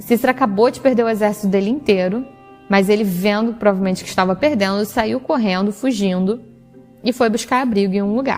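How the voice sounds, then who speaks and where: With music in the background, a woman with a Rio de Janeiro accent speaks at a fairly high pitch with ordinary pitch variation. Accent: Brazilian Portuguese, Rio de Janeiro. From Rio de Janeiro, Brazil. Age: 20s. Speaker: teacher. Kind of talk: Bible reading.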